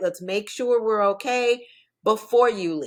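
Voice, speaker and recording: Fairly high-pitched woman in an unremarkable speaking voice, fairly slow, with ordinary pitch variation, very clean recording with a silent background. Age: 60s. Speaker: divorce and financial coach, author. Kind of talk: podcast interview.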